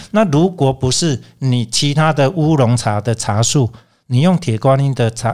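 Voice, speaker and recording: A man talks in a plain, everyday voice. The recording is very clean, with a silent background. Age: 60s. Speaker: teacher and tea merchant. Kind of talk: interview.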